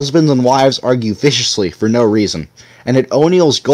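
The text is read aloud in a natural voice, its pitch varying in an ordinary way.

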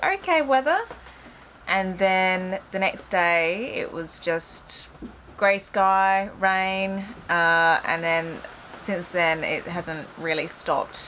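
Speaking slowly, a woman has a fairly low pitch and a fairly bright tone.

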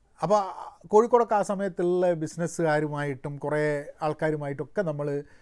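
Here a man speaks with lively intonation. His pitch is fairly high, and the background is quiet. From Kerala. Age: 40s. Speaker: entrepreneur and commentator; vlogger on education. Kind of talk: solo commentary monologue; casual vlog chat. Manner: halting, with frequent restarts. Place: garden. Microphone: phone near.

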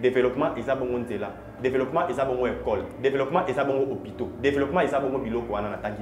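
Over noticeable background noise, a man talks at a very fast pace with ordinary pitch variation. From DR Congo. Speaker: political commentator. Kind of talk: TV political talk show discussion. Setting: TV studio. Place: studio.

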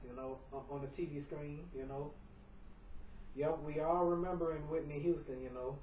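With fairly even intonation and a moderate pace, a man speaks over noticeable background noise. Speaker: home video vlogger. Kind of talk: casual monologue. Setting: at home.

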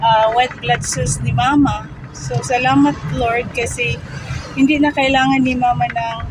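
A woman speaks at a fairly slow pace over noticeable background noise, the sound dry with no echo. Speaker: vlogger. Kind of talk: casual vlog chat. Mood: thankful, updating on mother's chemo. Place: car. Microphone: phone near.

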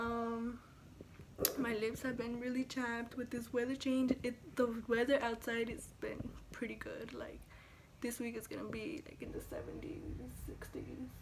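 This woman has a high-pitched voice and a monotone, flat delivery. She speaks fairly slowly over noticeable background noise. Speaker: video blogger. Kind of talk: casual vlog. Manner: casual, rambling. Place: home room. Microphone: phone near.

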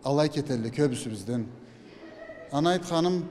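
A man speaks over light background noise. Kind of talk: interview answer. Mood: proud, calm. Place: hall. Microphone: handheld.

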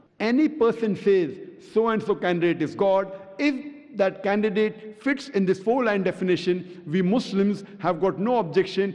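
Lively intonation marks a man's speech. He keeps a moderate pace. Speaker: public lecturer. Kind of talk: lecture. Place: hall. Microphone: podium.

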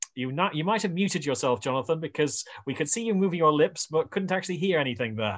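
A man speaks at a very fast pace. The background is quiet. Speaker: show host. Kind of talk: casual chat. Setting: video call. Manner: animated. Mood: warm, polite, jovial. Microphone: video call.

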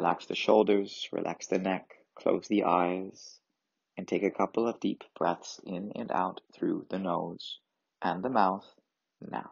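A man's plain, everyday voice, fairly low in pitch, at a fairly slow pace with fairly even intonation. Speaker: yoga and meditation teacher. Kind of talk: guided meditation. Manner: gentle and reassuring.

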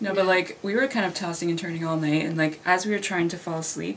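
A woman with a fairly low pitch talks at a fast pace with ordinary pitch variation amid audible room echo.

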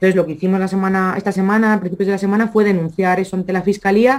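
A woman at a medium pitch against a quiet background. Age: 30s. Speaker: regional politician. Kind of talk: interview. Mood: critical, earnest. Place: home room. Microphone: video call.

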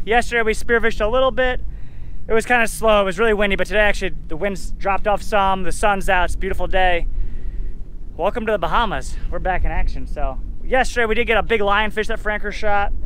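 Speaking at a very fast pace, a man with a high pitch and a bright, sharp tone keeps a fairly even intonation, in a dry sound with no echo and light background noise. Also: very even loudness. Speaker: boat captain vlogger. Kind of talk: casual vlog chat. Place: boat. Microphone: phone near.

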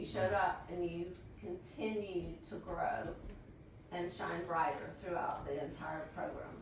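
Amid audible room echo, a woman speaks at a fairly slow pace and a fairly low pitch with fairly even intonation.

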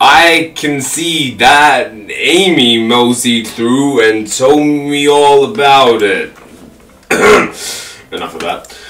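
At a very slow pace, a put-on character voice is performed. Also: man, fairly high pitch for a man.

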